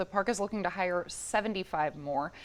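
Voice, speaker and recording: A woman with an American accent, an ordinary speaking voice, lively intonation and a moderate pace. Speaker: TV news reporter and anchor. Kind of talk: TV news reporting and standup.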